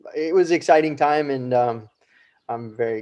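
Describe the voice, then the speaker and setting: In an American accent, a man speaks with a dark, mellow tone and ordinary pitch variation. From US West, Colorado. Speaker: wing foil instructor. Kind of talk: interview.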